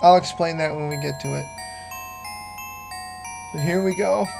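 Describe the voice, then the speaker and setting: Moderate pace with long, frequent pauses, and music in the background. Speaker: video game reviewer. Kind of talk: casual gameplay review commentary.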